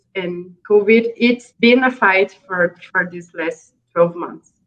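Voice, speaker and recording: A woman's medium-pitched voice at a very slow pace, with fairly even intonation. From Brazil. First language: Portuguese. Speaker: NGO project manager. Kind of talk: interview. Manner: halting.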